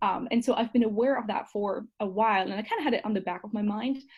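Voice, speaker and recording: Her pitch fairly high, a woman speaks with a German accent. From Germany. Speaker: marketing coordinator and certificate student. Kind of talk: interview.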